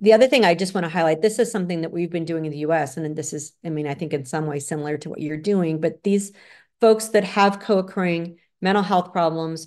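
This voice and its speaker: A woman's fairly low voice with an American accent and ordinary pitch variation. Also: quiet background. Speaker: psychologist lecturer. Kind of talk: lecture. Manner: fast.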